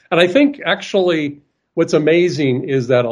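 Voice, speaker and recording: A man speaks at a fairly slow pace with ordinary pitch variation. He has an unremarkable speaking voice. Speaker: art supplies manufacturer. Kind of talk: interview. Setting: video call.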